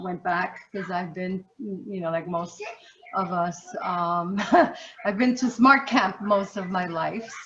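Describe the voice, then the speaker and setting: Noticeable background noise is present. A woman speaks very slowly at a medium pitch, with ordinary pitch variation. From US, Puerto Rican family, grew up in city projects. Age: 60s. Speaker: human services trainer and facilitator on racism. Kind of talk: interview.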